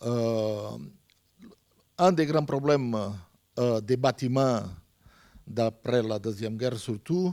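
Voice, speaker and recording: Very slow pace from a man with a non-native accent, a dark, mellow tone, and long, frequent pauses. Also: medium pitch for a man, ordinary pitch variation. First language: not French (speaking French). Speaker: heating company representative. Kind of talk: panel presentation. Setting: round table with audience. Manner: halting.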